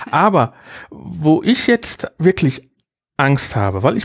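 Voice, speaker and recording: This man sounds dry and close, without any echo. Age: 40s. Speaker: podcaster, podcast association chair. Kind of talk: casual chat, life story. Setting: home studio.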